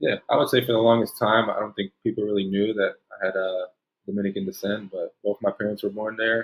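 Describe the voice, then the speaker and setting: With a Spanish accent, a man talks at a fairly quick pace in a fairly low pitch, his intonation monotone and flat. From New Jersey. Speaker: basketball player. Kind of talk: interview. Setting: video call.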